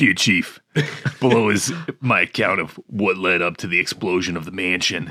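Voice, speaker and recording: A man does a put-on character voice at a very deep, low pitch and a moderate pace. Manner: dim-witted, dull.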